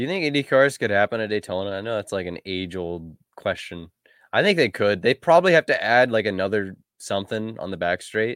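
Using an ordinary speaking voice, a man talks at a fairly quick pace with a fairly low pitch and lively intonation. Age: 20s. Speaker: motorsport podcast co-host. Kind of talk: casual chat.

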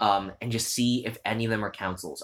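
With a Canadian accent, a man talks at a fairly low pitch. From Ontario, Canada (Hamilton). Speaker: theatre director and playwright. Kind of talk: interview, advice. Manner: casual with many fillers.

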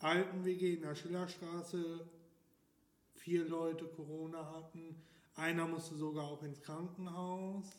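At a fairly slow pace, a high-pitched man speaks in a flat monotone with audible room echo. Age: 20s. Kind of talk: casual interview.

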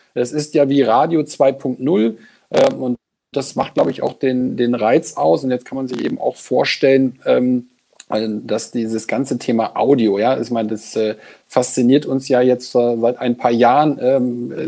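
A man speaks at a very slow pace. His tone is dark and mellow, and his intonation is fairly even. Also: medium pitch for a man. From Lower Saxony, Germany. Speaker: agency executive. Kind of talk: interview. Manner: halting.

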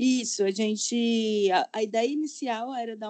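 A woman speaks with a plain, everyday voice. Her pitch sits fairly high, and her intonation stays fairly even. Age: 30s. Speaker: style consultant, digital nomad. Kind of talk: casual chat. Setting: home recording.

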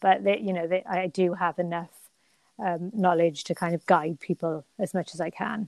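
In a British accent, a woman speaks at a moderate pace with a fairly low pitch and monotone, flat intonation, on a very clean recording with a silent background and a dry, close sound with no echo. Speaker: Pilates teacher and personal trainer. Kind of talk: casual interview chat.

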